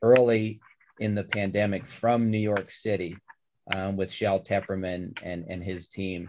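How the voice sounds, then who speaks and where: A man speaks in an ordinary speaking voice at a fairly low pitch. His intonation is fairly even and his pace moderate. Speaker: trauma surgeon, former podcast host. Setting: video call.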